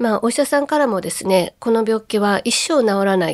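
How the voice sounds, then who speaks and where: Very wide pitch swings from a woman with a fairly high voice, at a moderate speed. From Kobe, Japan. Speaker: public speaker and ocarina player. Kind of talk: radio lecture.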